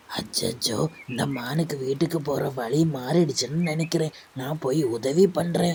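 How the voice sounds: A cartoonish character voice at a low-to-middle pitch delivers its lines at a fairly slow pace.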